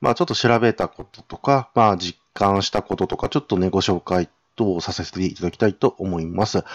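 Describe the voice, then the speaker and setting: In a dry, close recording with no echo and a quiet background, a man talks at a fairly low pitch. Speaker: podcast host. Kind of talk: solo casual talk about games. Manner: hesitant, many fillers.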